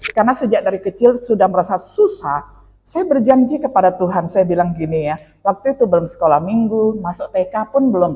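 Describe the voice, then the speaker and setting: A woman's somewhat breathy, medium-pitched voice, fairly quick, with lively intonation. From Indonesia, West Kalimantan. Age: 50s. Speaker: pastor. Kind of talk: sermon with personal testimony. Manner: conversational, with fillers.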